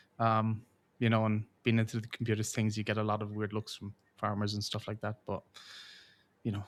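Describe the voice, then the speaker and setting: Monotone, flat intonation marks this man's very fast speech, on a very clean recording with a silent background. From Ireland, County Kilkenny, southeast. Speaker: game studio community manager. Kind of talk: podcast interview. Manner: hesitant, many fillers.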